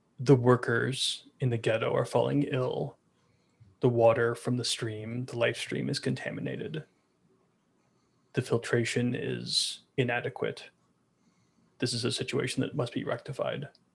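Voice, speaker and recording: A put-on character voice growls at a moderate pace. Long pauses come often. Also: man, medium pitch for a man. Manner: formal, authoritative.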